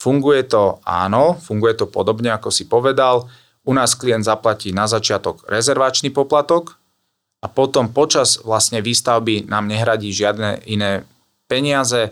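The recording is very clean, with a silent background. A man speaks at a moderate pace and a medium pitch with ordinary pitch variation, in an unremarkable speaking voice. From eastern Slovakia, Trebišov. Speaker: real estate developer project manager. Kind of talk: interview.

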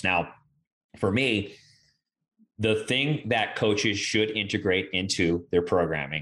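Speaking at a moderate pace against a quiet background, a man has a plain, everyday voice with ordinary pitch variation. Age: 30s. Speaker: strength coach. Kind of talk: casual chat.

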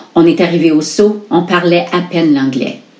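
A woman speaks at a fairly slow pace, her pitch fairly low with ordinary variation. Noticeable background noise and audible room echo are present. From Sault Ste. Marie, northern Ontario. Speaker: community contributor. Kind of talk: reading aloud.

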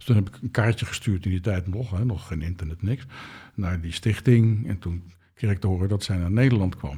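A dark, mellow, somewhat breathy voice at a fairly quick pace, with big swings in loudness and ordinary pitch variation, on a very clean recording with a silent background. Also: man, fairly low pitch for a man. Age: 60s. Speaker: translator and spiritual author. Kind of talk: interview.

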